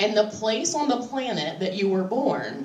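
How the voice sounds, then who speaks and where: Over noticeable background noise, a woman with a fairly high pitch and lively intonation speaks at a fairly slow pace. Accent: American. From West Virginia, Appalachia. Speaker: stand-up comedian. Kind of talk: live stand-up comedy set. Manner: conversational, crowd-interactive, sardonic.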